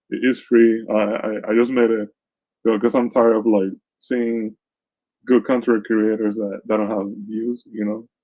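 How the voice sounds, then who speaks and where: In a Caribbean accent, a man speaks at a fairly slow pace. His pitch is medium and his intonation fairly even. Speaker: news commentator and content creator. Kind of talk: casual vlog commentary. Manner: halting, many repetitions and fillers.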